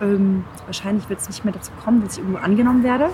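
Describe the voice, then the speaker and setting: A woman talks at a medium pitch, and noticeable background noise comes through. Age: 30s. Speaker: podcast host, pitch coach. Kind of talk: interview, casual chat. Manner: animated, enthusiastic.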